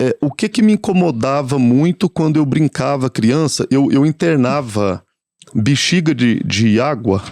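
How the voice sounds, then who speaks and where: Against a quiet background, a man with a Minas Gerais accent talks at a fairly slow pace, his fairly high voice showing lively intonation at a very even loudness. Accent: Minas Gerais (mineiro). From Minas Gerais, Brazil. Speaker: palliative care nurse. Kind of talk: podcast interview. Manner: halting, many fillers and repetitions.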